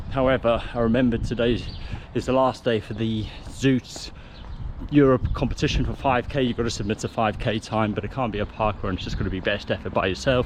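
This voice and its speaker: A man with an English accent at a fairly quick pace, medium in pitch and fairly even in intonation, with noticeable background noise. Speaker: triathlete vlogger. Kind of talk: casual vlog. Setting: at home, early morning. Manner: quiet, talking softly.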